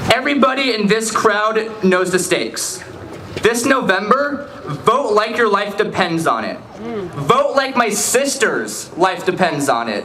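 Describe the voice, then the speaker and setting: Raised and projected, a man's high voice carries an American accent, lively intonation and a fairly slow pace. Audible room echo and noticeable background noise fill the recording. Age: young. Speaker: student activist. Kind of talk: rally speech.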